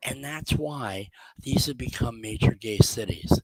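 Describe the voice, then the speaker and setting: This man speaks with an American accent at a fairly slow pace. The sound is dry and close, with no echo. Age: 60s. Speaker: genealogy speaker. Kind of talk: lecture. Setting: video call. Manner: conversational.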